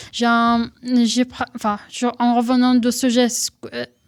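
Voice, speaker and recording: At a very slow pace, a woman with a Syrian accent speaks in a high pitch. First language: Arabic (speaking French). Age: 20s. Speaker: henna tattoo artist. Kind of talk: radio interview.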